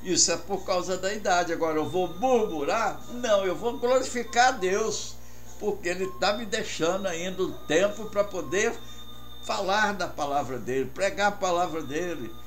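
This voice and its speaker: Music plays in the background and audible room echo surrounds a man speaking at a fairly slow pace. His high pitch moves with lively intonation. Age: 80s+. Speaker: pastor. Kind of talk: radio sermon. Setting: radio broadcast.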